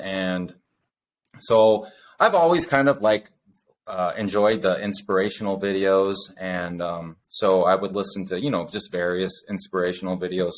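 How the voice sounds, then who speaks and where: At a moderate pace, a man talks with a very deep, low pitch. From US West (born in Utah). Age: 40s. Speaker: podcast co-host. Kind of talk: casual chat. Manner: halting, many fillers.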